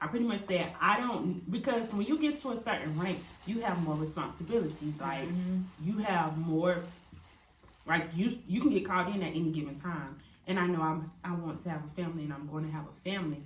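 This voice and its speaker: An unremarkable speaking voice from a woman with an American accent, fairly low in pitch, with lively intonation and a fairly quick pace. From California / St. Louis, Missouri. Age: 20s. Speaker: military service member. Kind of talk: casual group talk to camera.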